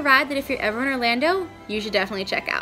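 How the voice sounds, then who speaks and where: With music in the background, a woman uses a raised, projected voice at a high pitch with ordinary pitch variation. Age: 20s. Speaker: vlogger. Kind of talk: casual vlog. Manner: animated.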